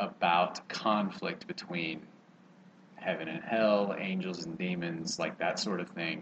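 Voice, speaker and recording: Over noticeable background noise, a man with an American accent and a fairly low pitch talks at a fairly slow pace with ordinary pitch variation and big swings in loudness. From Texas, College Station area. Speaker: former athlete and TV writer-producer. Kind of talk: casual interview chat.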